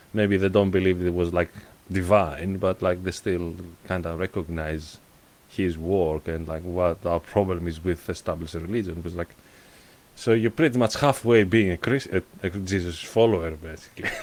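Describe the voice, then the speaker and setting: A man speaks with a Greek accent in a very deep, low voice. His pace is moderate and his intonation fairly even. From Greece. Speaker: podcast host. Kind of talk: casual chat. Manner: halting.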